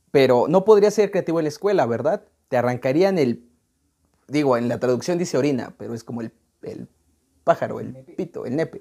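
A fairly high-pitched man with a Mexican accent, dark and mellow in tone, fairly quick in pace, lively in intonation, with big swings in loudness and long, frequent pauses. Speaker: music podcast host. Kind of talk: casual chat; reading aloud.

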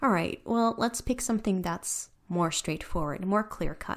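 In a very clean recording with a silent background, a woman talks at a fairly quick pace in a plain, everyday voice with ordinary pitch variation. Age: 30s. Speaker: podcast host. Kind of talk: personal monologue.

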